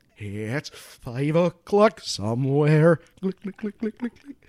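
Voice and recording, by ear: A man's put-on character voice, fairly high in pitch and fairly slow in pace.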